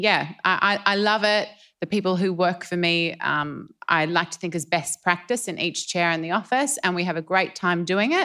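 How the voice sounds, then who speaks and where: A woman with an Australian accent speaks fairly low, in a bright, sharp tone with ordinary pitch variation. She keeps a moderate pace with hardly any pauses, in a very clean recording with a silent background. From Ballarat, country Victoria, Australia. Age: 40s. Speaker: fashion designer. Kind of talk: interview. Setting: live at fashion event.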